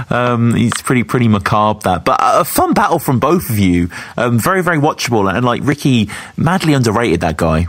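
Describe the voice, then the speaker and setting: A man at a fairly quick pace, his pitch swinging very widely while his loudness stays very even, amid noticeable background noise. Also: medium pitch for a man. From West Midlands, England (Sutton Coldfield). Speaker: podcast host. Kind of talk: casual interview.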